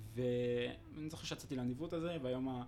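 A man's medium-pitched voice at a moderate pace, fairly even in intonation, with audible room echo. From Israel, Ra'anana. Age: 20s. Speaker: fitness instructor and law student, former combat soldier. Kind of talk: casual interview.

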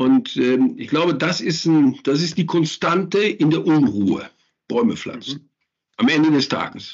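A man with a Ruhr accent, fairly slow pace, lively intonation and vocal fry. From Germany, Ruhr area (Gelsenkirchen). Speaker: landscape architect. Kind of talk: interview. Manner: hesitant, many fillers.

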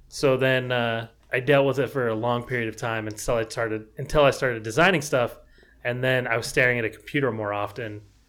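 Fairly even intonation and a fairly quick pace mark an ordinary speaking voice. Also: man, medium pitch for a man. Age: 20s. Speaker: designer and podcast co-host. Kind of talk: casual chat.

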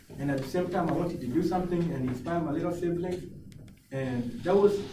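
Noticeable background noise behind fairly quick talking with ordinary pitch variation. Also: man. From grew up in a refugee camp, now lives in Australia. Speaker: motivational speaker, former refugee. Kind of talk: casual interview.

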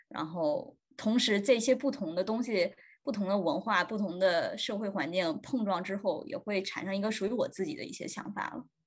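Somewhat breathy, a woman speaks at a moderate pace and medium pitch with lively intonation. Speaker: podcast host, student. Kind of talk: casual chat.

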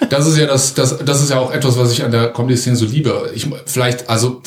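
There is noticeable background noise as a man talks at medium pitch with ordinary pitch variation. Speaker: amateur comedian. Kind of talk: casual interview chat. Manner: fast.

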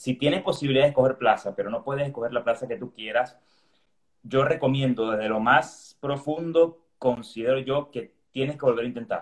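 At a fairly quick pace, a man speaks in an unremarkable speaking voice, with a medium pitch and ordinary pitch variation. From Venezuela. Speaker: resident doctor in gastroenterology. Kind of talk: casual interview chat.

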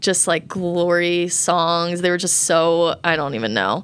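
A woman with a normal speaking voice, fairly low in pitch and with an American accent, talks at a moderate pace in a very clean recording with a silent background. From Colorado. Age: 20s. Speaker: college student. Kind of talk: casual chat. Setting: in person, studio.

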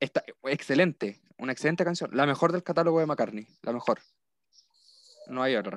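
The speech moves at a moderate pace with long, frequent pauses and ordinary pitch variation, in a dry, close sound with no echo. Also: man, fairly high pitch for a man. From Chile. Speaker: university student. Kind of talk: casual chat.

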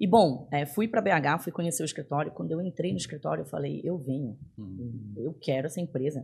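A woman's very deep, low voice with vocal fry, very wide pitch swings, a fairly quick pace and hardly any pauses. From Belém, Pará, northern Brazil. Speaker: tech executive. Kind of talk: casual interview. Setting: studio.

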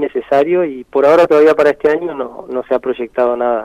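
A man with a fairly high voice speaks at a fairly quick pace in a dry, close sound with no echo. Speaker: musician and researcher. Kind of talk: radio interview. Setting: radio studio. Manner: halting, with many repetitions.

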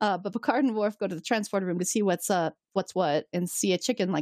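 The surroundings stay quiet during plain reading aloud.

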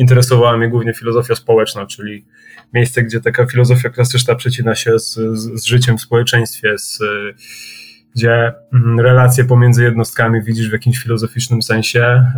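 A man at a fairly quick pace, flat and monotone, with music playing in the background. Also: medium pitch for a man. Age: 30s. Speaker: punk band vocalist. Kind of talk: casual chat.

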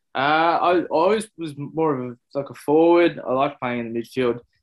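A man talks with an Australian accent. His pitch varies in an ordinary way. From Melbourne, Australia (south-eastern suburbs). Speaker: former AFL footballer and actor. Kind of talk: interview. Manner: halting, many fillers.

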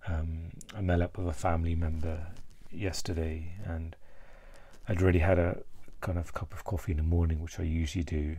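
In a British accent, the speaker moves at a fairly quick pace with long, frequent pauses, their dark, mellow tone somewhat breathy and their intonation flat and monotone. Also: man, very deep, low pitch for a man. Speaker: vlogger. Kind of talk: solo mental health vlog, reflective monologue. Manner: halting, hesitant, many filler words.

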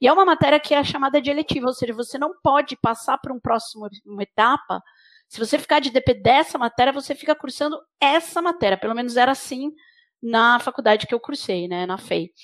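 Fairly quick, lively speech from a woman with a Brazilian accent and high pitch, in a dry, close sound with no echo. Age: 40s. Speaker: engineer and NGO leader. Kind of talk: interview. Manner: halting, frequent repetitions.

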